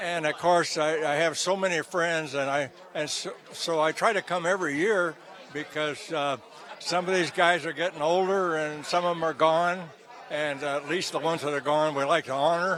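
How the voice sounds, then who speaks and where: A man talks in a bright, sharp tone, his fairly high voice keeping a fairly even intonation. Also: moderate pace. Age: 90s. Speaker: retired racing driver. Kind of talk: interview. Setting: gala event venue. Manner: halting.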